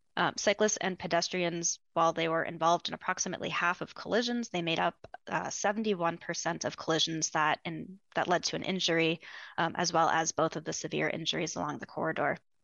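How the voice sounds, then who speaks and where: A woman speaks at a very fast pace. Her fairly low voice carries vocal fry. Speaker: transportation planner. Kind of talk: presentation.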